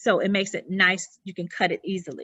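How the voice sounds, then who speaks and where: She speaks at a moderate pace in a Southern US accent. The woman's pitch sits in the medium range. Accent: southern twang. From US South, South Carolina. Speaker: interior designer. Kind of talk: presentation. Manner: halting.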